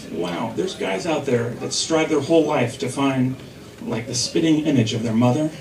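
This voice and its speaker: Amid noticeable background noise, a man talks at a moderate pace in an animated tone, his pitch swinging very widely. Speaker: stand-up comedian; stay-at-home dad. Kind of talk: stand-up comedy. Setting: stage with audience. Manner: animated, punchline-driven delivery with pauses; self-deprecating, laughing at own jokes.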